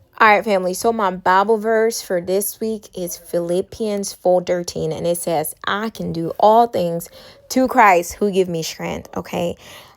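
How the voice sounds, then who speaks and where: Over noticeable background noise, a woman speaks in an animated tone at a fairly slow pace. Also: medium pitch for a woman. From Liberia, West Africa. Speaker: mom vlogger. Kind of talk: casual chat over cleaning vlog. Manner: chatty, animated.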